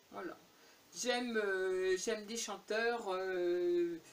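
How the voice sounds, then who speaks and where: At a medium pitch, a woman speaks at a very slow pace. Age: 70s. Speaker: YouTuber. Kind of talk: casual Q&A tag video. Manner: hesitant, many fillers.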